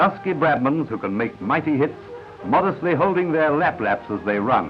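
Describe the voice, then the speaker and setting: Over background music, a man with a fairly high pitch speaks at a moderate pace, his pitch swinging very widely. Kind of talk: newsreel narration.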